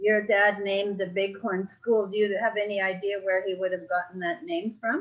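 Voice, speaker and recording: In a normal speaking voice, a woman talks at a medium pitch. Her pace is moderate, and her pitch variation is ordinary. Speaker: family interviewer. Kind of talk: interview questions.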